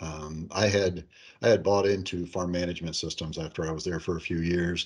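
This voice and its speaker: A man with an Upper Midwest accent speaks in a very deep, low voice. His intonation is fairly even against a quiet background. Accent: Upper Midwest American. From northeast Iowa. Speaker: accounting software company president. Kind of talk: interview.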